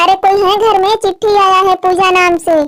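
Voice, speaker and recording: In a cartoonish character voice, a woman speaks at an extremely high pitch with monotone, flat intonation. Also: fairly quick pace, very even loudness. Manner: loud, simple, repetitive.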